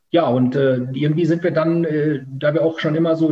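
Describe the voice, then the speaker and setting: A man's fairly high, somewhat breathy voice with a dark, mellow tone, fairly even intonation and a fairly quick pace. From Münsterland, Germany. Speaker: company founder. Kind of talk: interview. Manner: hesitant, many fillers.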